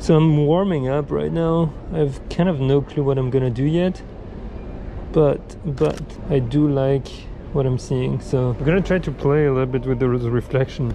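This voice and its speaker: Noticeable background noise surrounds a man's voice. He talks at a moderate pace with ordinary pitch variation. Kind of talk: casual vlog chat. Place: station. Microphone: phone near.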